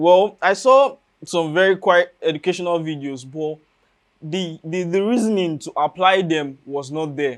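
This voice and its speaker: On a very clean recording with a silent background, a man with a Nigerian accent speaks in a high voice. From Nigeria, Enugu State. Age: young. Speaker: university student and trader. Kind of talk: interview.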